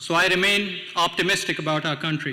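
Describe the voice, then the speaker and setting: The voice is raised and projected, with a bright, sharp tone. The pace is moderate. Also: man. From Pakistan. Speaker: city council member and party official. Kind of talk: speech at a political event.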